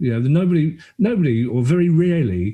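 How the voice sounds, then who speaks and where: This man's dark, mellow tone carries lively intonation and a somewhat breathy edge. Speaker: stand-up comedian and writer. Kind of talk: podcast guest conversation. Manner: casual, animated.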